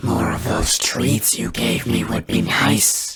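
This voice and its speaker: In a put-on character voice, a man growls at a fairly slow pace with a very deep, low pitch. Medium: read story. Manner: demanding, self-important.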